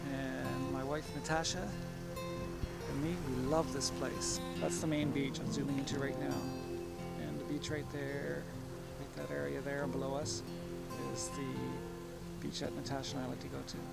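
A man with long, frequent pauses over loud background music, in a dry sound with no echo. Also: moderate pace. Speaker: hiking vlogger. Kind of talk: casual vlog chat. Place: open country. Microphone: phone near.

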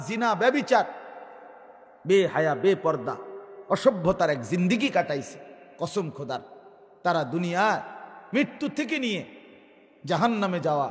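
High-pitched man's speech marked by very wide pitch swings. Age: 40s. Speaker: Islamic preacher. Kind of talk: sermon. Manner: animated.

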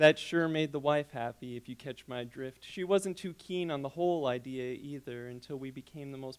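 A man talks with ordinary pitch variation, keeping a moderate pace. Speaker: graduate creative writing student. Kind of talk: reading aloud. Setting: stage with audience. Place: hall. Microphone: handheld.

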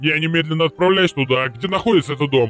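A man puts on a character voice, pitched fairly high and delivered very fast with ordinary pitch variation. Faint music plays in the background. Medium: fan dub. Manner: curt, brusque.

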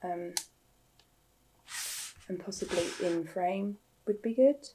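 Her voice sits fairly low for a woman, with a dark, mellow tone and a slightly husky edge. She speaks at a slow pace with ordinary pitch variation.

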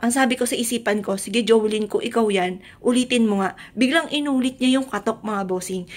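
This woman talks at a fairly quick pace with hardly any pauses. Her pitch is fairly high, with ordinary variation. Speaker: vlogger. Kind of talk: personal testimony vlog. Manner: loud at times. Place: home room. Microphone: phone near.

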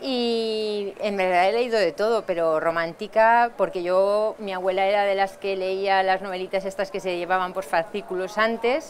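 Music plays in the background. A woman talks with fairly even intonation. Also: moderate pace. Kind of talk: interview answer. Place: hall.

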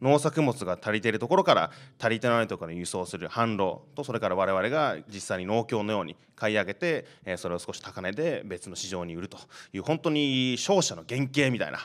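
This man's pitch swings very widely, and his loudness rises and falls by large amounts. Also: fairly quick pace. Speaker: startup founder; panelist. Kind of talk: panel discussion. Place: classroom. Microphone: handheld.

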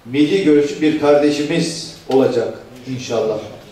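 Fairly high in pitch, a man speaks at a fairly slow pace. His intonation is fairly even, with audible room echo. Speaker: party official. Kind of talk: political speech. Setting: meeting hall with audience. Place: hall.

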